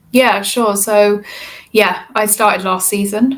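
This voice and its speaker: A woman's medium-pitched voice at a moderate pace, fairly even in intonation, with noticeable background noise. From Plymouth, southwest England. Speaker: football fan and content creator. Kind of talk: podcast interview. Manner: dry, sarcastic.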